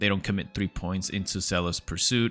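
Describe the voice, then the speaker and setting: The speaker has a non-native accent and fairly even intonation, talking at a moderate pace over music in the background. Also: man. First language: not English. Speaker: gaming YouTuber. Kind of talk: gameplay guide commentary. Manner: casual, with frequent fillers and hesitations.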